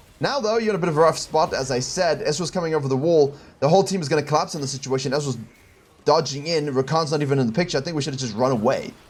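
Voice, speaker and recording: Somewhat breathy, a man talks very fast with a fairly high pitch and ordinary pitch variation. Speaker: game coach. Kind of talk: coaching review of gameplay footage. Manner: thinking aloud, hesitant at times.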